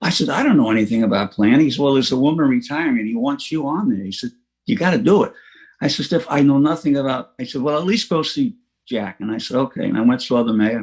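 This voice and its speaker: Speaking at a very fast pace, a man with a medium-pitched voice uses lively intonation. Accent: New York. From New York City, Queens (Rockaway Beach). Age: 80s+. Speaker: recovering alcoholic speaker. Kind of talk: recovery talk testimony. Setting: online meeting. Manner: halting with fillers.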